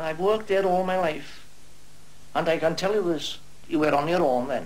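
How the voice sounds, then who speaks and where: Against noticeable background noise and audible room echo, a man with a North Welsh accent speaks at a moderate pace. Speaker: retired quarryman. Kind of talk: documentary interview.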